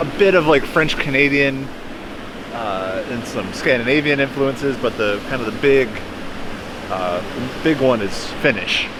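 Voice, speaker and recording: A man with an American accent speaks at a fairly slow pace, his pitch fairly high with ordinary variation and long, frequent pauses. Noticeable background noise and audible room echo fill the recording. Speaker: kayak adventure vlogger. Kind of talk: casual vlog narration. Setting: outdoors by a waterfall.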